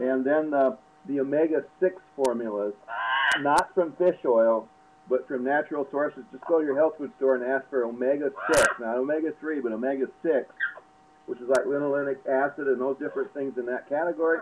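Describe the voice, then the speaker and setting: Against noticeable background noise, a man speaks at a fairly quick pace with ordinary pitch variation. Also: fairly high pitch for a man. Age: 60s. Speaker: alternative health advisor. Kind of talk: casual advice talk. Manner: halting, many fillers and repeats.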